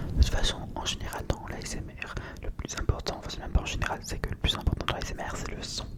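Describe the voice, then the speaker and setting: Whispering at a very fast pace, a man's voice swings widely in loudness over noticeable background noise. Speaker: ASMR content creator. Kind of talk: casual improvised ASMR chat to camera. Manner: soft-spoken, relaxed.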